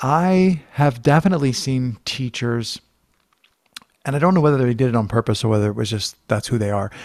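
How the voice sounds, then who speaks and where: A man's medium-pitched voice with lively intonation at a fairly quick pace. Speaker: podcast host. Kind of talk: casual interview. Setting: video call. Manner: fast.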